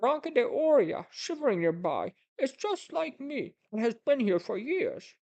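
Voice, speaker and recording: A put-on character voice with a high pitch, very wide pitch swings and a moderate pace. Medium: read story. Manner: pleading, wheedling.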